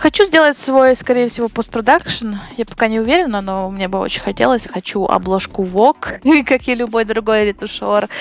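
A woman speaks at a moderate pace with lively intonation and a fairly high pitch, over noticeable background noise. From western Ukraine, near Uzhhorod. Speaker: commercial photo retoucher. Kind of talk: casual interview.

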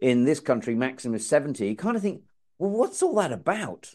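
A man with an English accent, fairly high in pitch, with very wide pitch swings and a very fast pace. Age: 50s. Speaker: podcast host. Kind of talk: casual chat.

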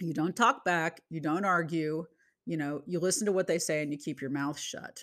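A woman at a moderate pace, fairly low in pitch with ordinary pitch variation, on a very clean recording with a silent background. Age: 50s. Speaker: teacher and podcast host. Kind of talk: solo podcast monologue. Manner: hesitant, many fillers.

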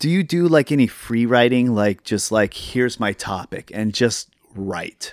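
A man with an American accent speaks at a fairly slow pace and medium pitch, in an ordinary speaking voice. His intonation is lively. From Seattle, US. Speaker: podcast host.

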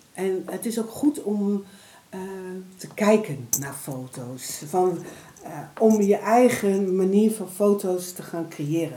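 Noticeable background noise sits behind the recording. A woman speaks at a medium pitch with lively intonation. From Netherlands, Deventer (Overijssel). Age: 50s. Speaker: photographer and prevention worker. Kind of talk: interview.

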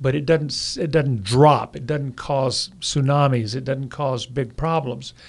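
A man's somewhat breathy, fairly high voice at a fairly slow pace, with fairly even intonation, hardly any pauses and a quiet background. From not from New Orleans. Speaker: professor and naturalist. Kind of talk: casual chat. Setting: in a car.

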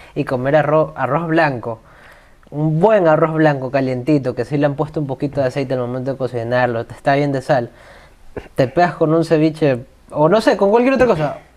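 A man talks at a fairly quick pace in a fairly high voice with ordinary pitch variation. It is a normal speaking voice. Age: 20s. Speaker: podcast guest. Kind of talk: casual chat.

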